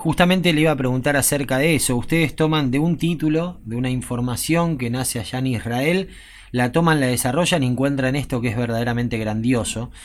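A man speaks at a fairly quick pace in a medium pitch, with ordinary pitch variation. He has a plain, everyday voice. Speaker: radio host. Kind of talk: radio interview.

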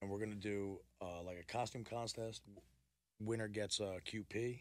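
Here a man talks in an American accent. He keeps a moderate pace and fairly even intonation. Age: 30s. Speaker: caterer and food truck owner. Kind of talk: casual chat.

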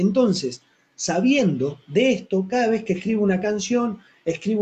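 Speaking at a fairly slow pace, a man uses a high pitch with ordinary variation and a dark, mellow tone. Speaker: football fan radio show host. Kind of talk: casual fan call-in show. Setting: home studio, live on Facebook. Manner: animated.

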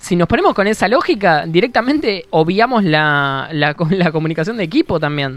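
The pace is moderate. There are hardly any pauses. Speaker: podcast host. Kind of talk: casual chat.

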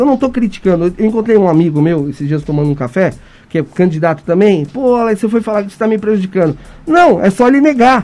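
Very fast speech from a man in a high pitch, with lively intonation. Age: 40s. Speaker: city council candidate. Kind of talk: radio interview.

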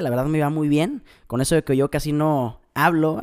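A man's animated voice, fairly high in pitch with ordinary variation, on a very clean recording with a silent background. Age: 20s. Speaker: motivational podcaster and music student. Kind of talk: motivational monologue.

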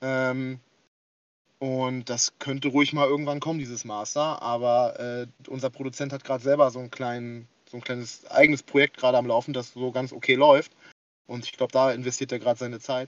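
Monotone, flat intonation from a man at medium pitch, fairly quick in pace, with big swings in loudness. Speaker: rapper and forum moderator. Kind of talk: casual chat. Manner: hesitant, many fillers.

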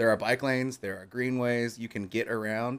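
This is a very clean recording with a silent background, featuring a man with an ordinary speaking voice. He speaks at a medium pitch and a fairly quick pace. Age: 30s. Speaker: streamer and graphic designer. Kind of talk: casual chat.

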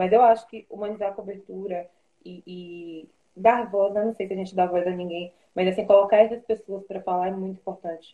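Her intonation is monotone and flat as this woman speaks at medium pitch and a fairly quick pace. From Salvador, Bahia, Brazil. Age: 20s. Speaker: TV news producer. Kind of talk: interview on an Instagram live.

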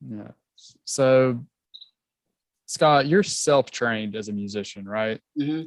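In a Southern US accent, a man of medium pitch speaks at a fairly slow pace with ordinary pitch variation, big swings in loudness and long, frequent pauses. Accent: Southern American. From South Georgia, US. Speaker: music podcast host. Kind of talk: casual interview.

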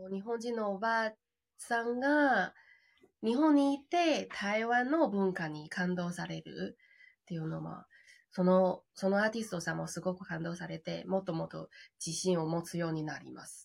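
A woman speaks with a Chinese accent. Her loudness rises and falls in big swings. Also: medium pitch for a woman, lively intonation, moderate pace. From China. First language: Chinese (speaking Japanese). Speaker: glamping business owner. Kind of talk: interview.

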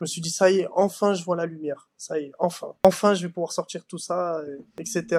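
A man with a high pitch talks at a moderate pace in a dry, close sound with no echo. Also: fairly even intonation. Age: young. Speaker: young footballer. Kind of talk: interview.

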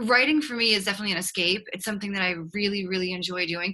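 A woman with a slight Boston accent speaks at a medium pitch in a bright, sharp tone with ordinary pitch variation. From Boston, Massachusetts. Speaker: author and relationship coach. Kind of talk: interview. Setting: video call.

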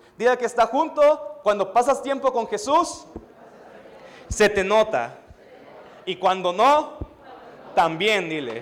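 Noticeable background noise sits under very slow speech with lively intonation and long, frequent pauses. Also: man, extremely high pitch for a man. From Mexico (Veracruz). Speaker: pastor. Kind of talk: sermon.

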